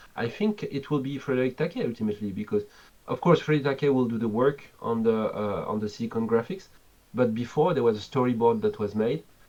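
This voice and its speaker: Talking very fast, a man with a French accent has a dark, mellow tone at medium pitch. His pitch varies in an ordinary way. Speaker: game developer. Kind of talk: interview.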